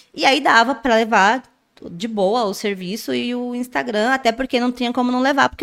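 Her pitch is high, and the woman speaks at a fairly quick pace with ordinary pitch variation. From interior of São Paulo state, Brazil. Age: 30s. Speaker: nail influencer. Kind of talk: interview.

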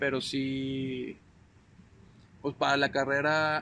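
A man speaks with a fairly high pitch. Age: 20s. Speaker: agribusiness engineer. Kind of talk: casual chat.

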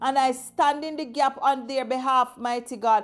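A woman speaks at a fairly slow pace with a high pitch, an intense tone and fairly even intonation. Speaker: evangelist. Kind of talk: fervent intercessory prayer, decreeing and declaring against spirits. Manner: intense, rhythmic, repetitive invocations of 'mighty God' and 'Lord Jesus'; commanding, combative warfare-prayer declarations.

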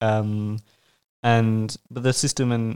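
Flat, monotone intonation runs through this very clean recording with a silent background. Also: man. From France. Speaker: master's student. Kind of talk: casual discussion.

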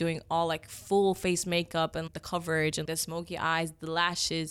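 At a moderate pace, a woman with an Egyptian accent talks in a fairly low pitch with monotone, flat intonation. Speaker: makeup artist. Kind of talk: casual interview chat.

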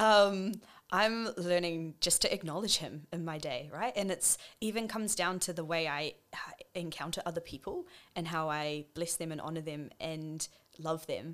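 In a very clean recording with a silent background, the speaker uses a New Zealand accent at a moderate pace with ordinary pitch variation. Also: woman, fairly low pitch for a woman. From New Zealand, Wellington. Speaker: nurse and worship leader. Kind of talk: casual chat. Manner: animated.

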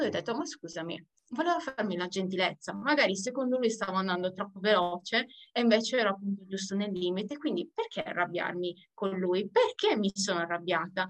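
Speaking fairly quickly at medium pitch, a woman uses lively intonation and big swings in loudness. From Sardinia. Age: 20s. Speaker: pastry worker. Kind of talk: interview testimony. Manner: halting.

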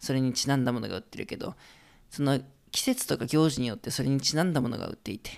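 A man speaks in a fairly high pitch on a very clean recording with a silent background. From Japan, Hokkaido. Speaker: podcast host, travel guide. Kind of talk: solo podcast talk. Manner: casual, relaxed.

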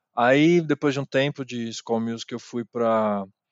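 This man has an ordinary speaking voice at medium pitch. He goes at a fairly slow pace with fairly even intonation. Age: 30s. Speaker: journalist and DJ. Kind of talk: casual interview chat.

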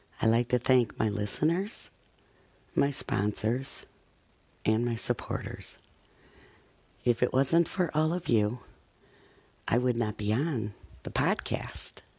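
Very slowly and with long, frequent pauses, a man speaks at medium pitch in a dark, mellow, warm tone. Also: ordinary pitch variation. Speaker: podcast host reading a poem. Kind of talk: poetry reading with a friendly podcast intro and sign-off, warm and sincere. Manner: friendly, warm, prayerful.

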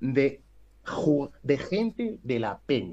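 Very wide swings mark the pitch. The speaker is male. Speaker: basketball coach. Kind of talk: casual chat.

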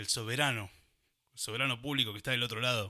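In a Rioplatense accent, a man with a bright, sharp tone speaks with fairly even intonation in a very clean recording with a silent background. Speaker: radio host. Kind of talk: casual chat.

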